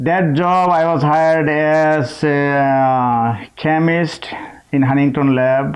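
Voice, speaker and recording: A man with a Bangladeshi accent and fairly even intonation. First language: Bengali. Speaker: chemist. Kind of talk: interview. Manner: halting.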